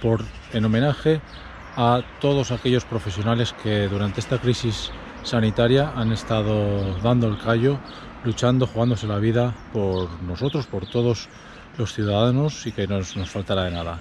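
A man talks at a moderate pace with ordinary pitch variation. The sound is dry with no echo, but there is noticeable background noise. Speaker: runner vlogger. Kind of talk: casual vlog chat. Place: street. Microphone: phone near.

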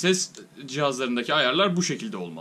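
A man talking at a very fast pace. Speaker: tech reviewer / YouTuber. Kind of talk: tutorial. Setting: home, recording with headset mic. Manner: casual, explanatory. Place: home room.

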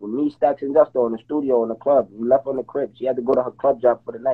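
The background is quiet. A man with a New York accent and a fairly high pitch talks at a very fast pace. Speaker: live-stream participant in a street dispute; live stream host. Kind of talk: heated debate. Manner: loud; animated. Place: home room. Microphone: phone near.

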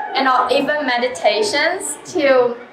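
A woman speaks at a very slow pace with very wide pitch swings. Noticeable background noise is present. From China. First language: Chinese. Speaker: artist. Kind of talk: interview. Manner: hesitant, many fillers.

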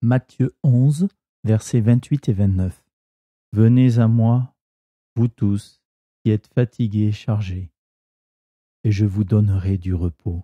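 A somewhat breathy voice with a dark, mellow tone and a calm, soothing tone, ordinary pitch variation, a very slow pace and long, frequent pauses. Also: man. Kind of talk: guided meditation; reading aloud of devotional text and scripture. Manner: slow, calm, soothing; gentle, reverent, measured.

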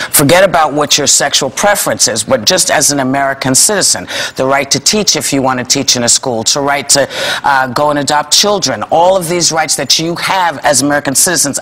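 A woman talks at a fairly quick pace. Her pitch is very deep and low, with ordinary pitch variation. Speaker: talk show host. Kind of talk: panel discussion opinion. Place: studio.

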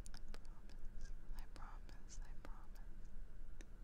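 Soft-spoken and whispering, a woman speaks at a very slow pace. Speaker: ASMR creator. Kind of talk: soft reassuring whisper to viewer. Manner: tender soft whisper. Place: home room. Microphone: studio mic.

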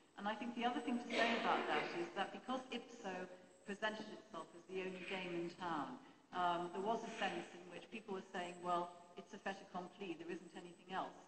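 A woman with a British accent speaks fairly quickly at a medium pitch, with ordinary pitch variation, big swings in loudness and noticeable background noise. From England. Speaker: press reform campaigner; panellist. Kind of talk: panel Q&A. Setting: stage with audience. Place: hall. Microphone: handheld.

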